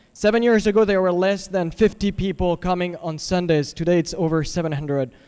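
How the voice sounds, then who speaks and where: With a slight French accent, a man speaks at a moderate pace in a high pitch, his intonation fairly even. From France, Paris. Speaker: pastor. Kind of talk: public comment.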